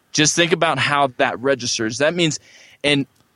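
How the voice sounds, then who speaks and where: A man's fairly high-pitched, an unremarkable speaking voice, with ordinary pitch variation and a dry, close sound with no echo. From California. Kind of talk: interview.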